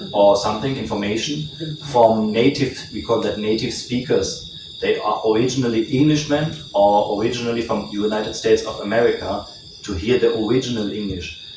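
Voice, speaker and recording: Speaking at a moderate pace with a slight German accent, a man of medium pitch is heard with audible room echo and noticeable background noise. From Germany. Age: 30s. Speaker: guest speaker on language learning. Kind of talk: informal talk to an audience.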